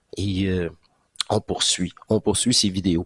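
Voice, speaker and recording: A man speaks with a Quebec accent. His pace is very slow. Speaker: spiritual channel host. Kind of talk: casual monologue recap. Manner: hesitant, many fillers; animated.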